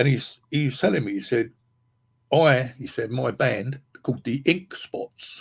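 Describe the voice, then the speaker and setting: Somewhat breathy speech in an English accent moves at a fairly slow pace. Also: man, medium pitch for a man, ordinary pitch variation. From England. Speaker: podcast host, guitarist. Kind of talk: casual chat. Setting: live stream. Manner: halting.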